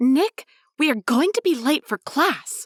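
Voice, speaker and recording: A woman does a put-on character voice, pitched high, with very wide pitch swings at a fairly slow pace. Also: dry, close sound with no echo. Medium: read story. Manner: curt, cool.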